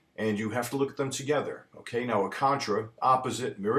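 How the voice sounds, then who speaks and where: A man speaks at a fairly quick pace. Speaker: accounting professor. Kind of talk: lecture. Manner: fast.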